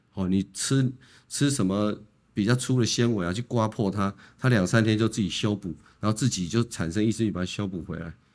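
In a very clean recording with a silent background, a man with a fairly low pitch talks at a fairly quick pace in a normal speaking voice. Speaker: colorectal surgeon. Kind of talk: medical interview. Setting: studio.

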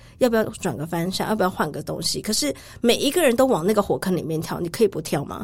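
Somewhat breathy and very fast, a woman speaks at a medium pitch with very wide pitch swings. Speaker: travel writer. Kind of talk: casual interview chat.

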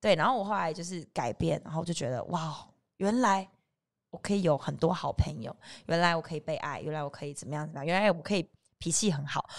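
A woman talks at a very fast pace in a fairly low pitch with ordinary pitch variation. Her loudness swings widely. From southern Taiwan, Kaohsiung. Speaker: TV host. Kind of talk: casual chat. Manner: animated.

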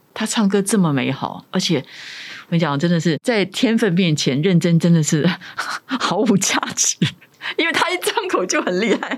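A woman with lively intonation speaks at medium pitch over noticeable background noise. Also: moderate pace. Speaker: author and former radio host. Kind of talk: interview.

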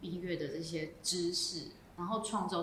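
A woman speaks fairly slowly at a fairly low pitch with fairly even intonation, amid audible room echo and noticeable background noise. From Taiwan, Miaoli, Hakka family. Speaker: jazz vibraphonist. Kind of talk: casual interview. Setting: coffee shop in Taichung. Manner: hesitant, many fillers.

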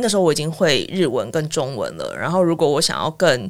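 A woman speaks at a moderate pace with vocal fry. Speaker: former international news reporter. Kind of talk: casual interview.

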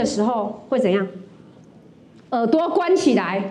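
A woman talks at a moderate pace with very wide pitch swings. Noticeable background noise runs underneath. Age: 50s. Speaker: stand-up comedian and college lecturer. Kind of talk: stand-up comedy set at an open mic. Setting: stage with audience.

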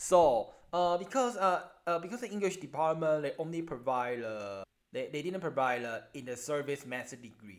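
Speaking at a moderate pace with a Chinese accent, a man uses a fairly high pitch that swings very widely. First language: Mandarin Chinese. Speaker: elementary school English teacher. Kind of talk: interview. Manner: halting.

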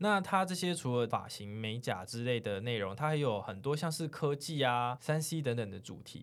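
A man at medium pitch and a moderate pace, on a very clean recording with a silent background. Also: lively intonation. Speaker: podcast host. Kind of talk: casual chat. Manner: animated.

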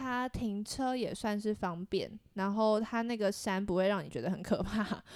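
A woman with a Taiwanese accent speaks at a moderate pace and medium pitch, her intonation fairly even. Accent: Taiwanese Mandarin. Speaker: podcast co-host. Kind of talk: casual chat.

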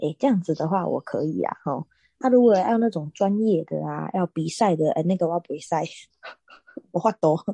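Her tone dark and mellow, a woman speaks at a moderate pace with a fairly low pitch and lively intonation. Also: dry, close sound with no echo. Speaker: podcast co-host, swimming coach. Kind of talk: casual chat.

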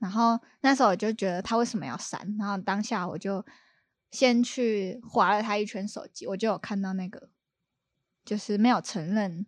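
Speaking with a Taiwanese accent, a woman keeps a moderate pace, medium pitch and fairly even intonation over a quiet background. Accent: Taiwanese Mandarin. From Taiwan, Kaohsiung. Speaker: bridal stylist. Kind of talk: casual chat. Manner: nervous.

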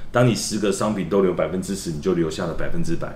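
Amid audible room echo, a man with a very deep, low voice talks at a very fast pace with fairly even intonation. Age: 50s. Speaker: company executive. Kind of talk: promotional interview.

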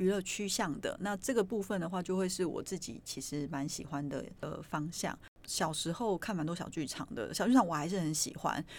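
Her speech is an ordinary speaking voice, fairly low in pitch, with lively intonation at a moderate pace. The woman is recorded very cleanly with a silent background. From Taiwan, Yilan (Luodong). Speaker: podcast host, performing arts presenter. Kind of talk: casual chat.

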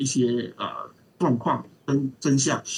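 A man's somewhat breathy voice at a medium pitch. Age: old. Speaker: documentary film director and film lecturer. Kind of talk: interview. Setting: remote call.

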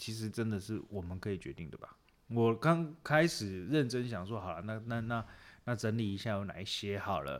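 On a very clean recording with a silent background, a man speaks at a moderate pace. His fairly low voice carries lively intonation. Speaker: podcast co-host. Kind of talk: casual chat about referendums. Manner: animated, laughing.

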